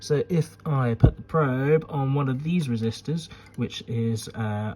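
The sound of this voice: This man speaks at a medium pitch with a slightly mellow tone. His pace is fairly slow, and his pitch varies in an ordinary way.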